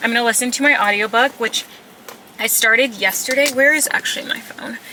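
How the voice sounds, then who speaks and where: The delivery is very fast and animated in tone, with ordinary pitch variation. There is noticeable background noise. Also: woman. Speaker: lifestyle vlogger. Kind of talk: casual vlog chat to camera. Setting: in a car. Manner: chatty, animated.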